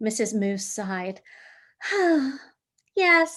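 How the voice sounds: A quiet background lies behind a natural reading voice.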